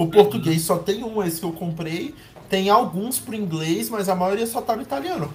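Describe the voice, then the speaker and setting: Speaking at a moderate pace, a man uses a high pitch and lively intonation. Audible room echo and noticeable background noise fill the recording. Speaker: podcast co-host. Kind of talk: casual chat.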